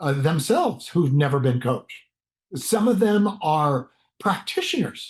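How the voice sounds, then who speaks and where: Pitch swings very widely in this man's voice. His delivery is fairly slow. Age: 60s. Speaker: motivational speaker and former pro football player. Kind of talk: motivational talk. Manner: casual, conversational with false starts.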